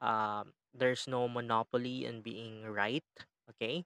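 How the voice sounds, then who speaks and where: A man with a Filipino accent speaks at a fairly slow pace and medium pitch, his tone bright and sharp. The sound is dry and close with no echo, on a very clean recording with a silent background. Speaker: college lecturer. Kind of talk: lecture-style podcast. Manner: code-switching between English and Tagalog; friendly, instructional, casual.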